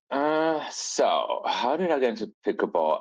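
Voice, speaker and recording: Lively intonation marks this man's speech in a German accent. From Austria. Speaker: fashion designer and apparel brand founder. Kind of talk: casual interview chat. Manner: animated.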